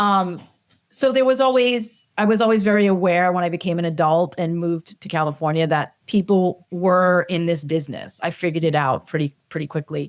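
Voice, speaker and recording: A woman speaks with a Boston accent at a fairly quick pace. Her pitch sits fairly low. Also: ordinary pitch variation, very clean recording, silent background. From Massachusetts, Cambridge (Boston area). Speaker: film assistant director. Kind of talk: casual chat.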